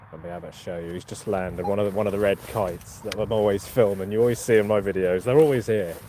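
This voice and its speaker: Through noticeable background noise, a man with a Norfolk accent talks very fast in a fairly low voice with fairly even intonation. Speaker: metal detecting YouTuber. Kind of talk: live stream chat. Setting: outdoors in a field. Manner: casual, chatty.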